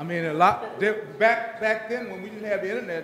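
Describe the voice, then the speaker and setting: With audible room echo and noticeable background noise, a man speaks at a moderate pace in a high pitch. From Washington DC. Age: 60s. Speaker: retiring federal government employee. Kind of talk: retirement speech.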